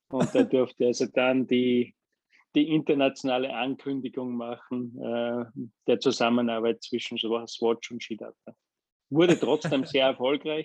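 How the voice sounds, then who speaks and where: The sound is dry and close with no echo. A man speaks fairly slowly at medium pitch with fairly even intonation. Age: 50s. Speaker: business executive. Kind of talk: interview. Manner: halting with frequent fillers.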